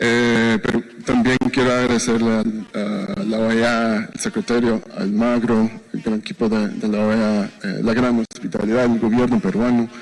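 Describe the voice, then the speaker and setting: At a fairly slow pace, a man with a non-native accent speaks at a medium pitch with fairly even intonation, amid noticeable background noise. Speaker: business chamber executive. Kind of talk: conference presentation. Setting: business forum. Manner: halting, many fillers.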